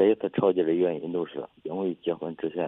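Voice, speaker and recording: A man's very deep, low voice holds fairly even intonation while moving at a moderate pace. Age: 20s. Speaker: caller seeking advice. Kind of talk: personal story on call-in show. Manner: halting, repetitive.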